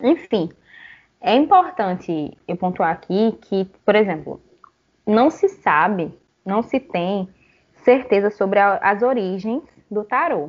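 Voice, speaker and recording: A woman's medium-pitched voice at a fairly slow pace with ordinary pitch variation. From Paraíba, Brazil (João Pessoa). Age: 20s. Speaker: podcast host. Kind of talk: casual conversational podcast discussion.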